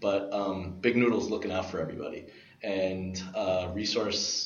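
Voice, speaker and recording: A man with an American accent talks at a moderate pace in a fairly low pitch with fairly even intonation. The room echo is audible and background noise is noticeable. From New York, Brooklyn. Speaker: podcast guest, tech enthusiast. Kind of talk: casual chat.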